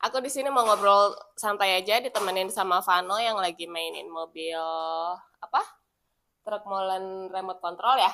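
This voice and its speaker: Bright and sharp in tone, this woman speaks at a medium pitch. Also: ordinary pitch variation, moderate pace. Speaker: vlogger. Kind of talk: casual chat.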